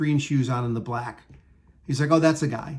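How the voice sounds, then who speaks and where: Somewhat breathy, the voice holds a fairly even intonation. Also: man. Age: 60s. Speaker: entertainment industry worker. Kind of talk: casual talk to camera. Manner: hesitant, rambling.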